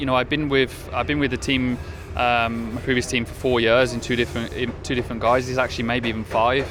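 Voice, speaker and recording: A man is speaking. Music plays in the background. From Birmingham, England. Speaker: racing driver. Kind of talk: interview. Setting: pre-season testing at a race track. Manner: halting, many fillers.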